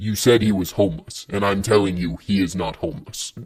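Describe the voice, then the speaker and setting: In a cartoonish character voice, the speaker growls with a deadpan tone at a fairly quick pace. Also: man, fairly low pitch for a man. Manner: flat, literal, deadpan.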